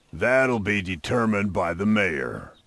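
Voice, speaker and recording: Using a put-on character voice, a man talks at a moderate pace, raspy and fairly low in pitch. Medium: video game.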